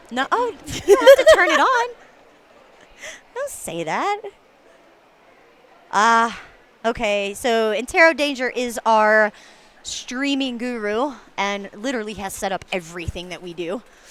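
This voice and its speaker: With a Southern US accent, a woman with a fairly high pitch speaks fairly slowly and with lively intonation, her loudness swinging widely between long, frequent pauses. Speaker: roller derby announcer. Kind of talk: live commentary. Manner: casual, chatty.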